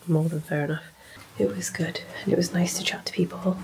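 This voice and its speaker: Quietly, a woman with a British accent speaks at a fairly low pitch. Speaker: bookshop owner and vlogger. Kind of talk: casual vlog talk to camera. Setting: hotel room. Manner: quiet, hushed.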